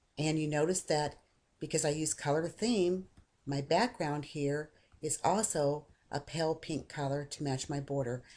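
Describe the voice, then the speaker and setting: Her voice very deep and low, a woman speaks in a dark, mellow tone at a moderate pace with ordinary pitch variation. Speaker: software tutorial maker; software tutorial narrator. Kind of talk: screen-recorded tutorial. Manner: casual, conversational.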